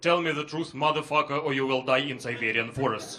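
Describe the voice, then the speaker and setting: Someone with a Russian accent talks very fast, with noticeable background noise and audible room echo. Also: man. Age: 30s. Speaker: comedian. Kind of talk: stand-up. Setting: stage with audience.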